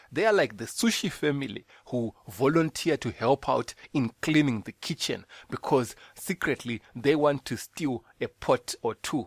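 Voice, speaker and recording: A man with a Zimbabwean accent and lively intonation, fairly slow, on a very clean recording with a silent background and a dry, close sound without echo. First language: Shona. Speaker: podcast host. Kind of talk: bible teaching; casual monologue.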